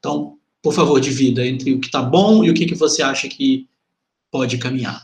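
A man's voice with vocal fry, a moderate pace and ordinary pitch variation. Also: medium pitch for a man. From Venda Nova, Belo Horizonte, Brazil. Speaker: podcast host. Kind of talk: interview.

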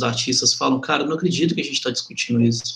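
With ordinary pitch variation, a man talks at a fairly high pitch in an unremarkable speaking voice. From Venda Nova, Belo Horizonte, Brazil. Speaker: podcast host. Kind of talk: interview.

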